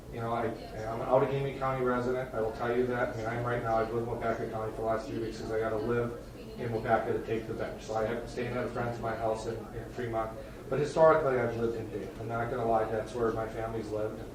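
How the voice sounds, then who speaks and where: Over noticeable background noise and audible room echo, a man with an American accent talks very fast in a medium-pitched, monotone, flat voice. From northern Wisconsin. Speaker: judge. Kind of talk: self-introduction at a town board meeting. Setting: town board meeting room. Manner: casual, halting with many fillers. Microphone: soft, quiet recording.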